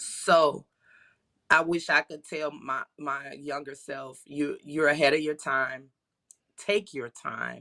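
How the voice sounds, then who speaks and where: A woman's very deep, low voice at a very slow pace, bright and sharp in tone, with fairly even intonation and big swings in loudness. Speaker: spa owner. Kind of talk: interview conversation.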